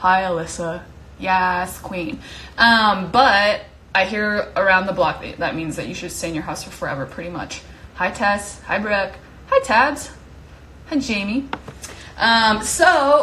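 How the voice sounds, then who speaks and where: A woman speaks at a moderate pace and medium pitch with ordinary variation, her loudness swinging widely. Audible room echo and noticeable background noise fill the recording. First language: not English. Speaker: live stream host. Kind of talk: casual live stream chat. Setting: Instagram live from home. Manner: casual, many fillers.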